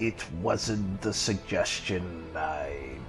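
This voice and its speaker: Over clear music in the background, a man performs a put-on character voice at a fairly low pitch. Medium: audio drama. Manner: formal, stiff.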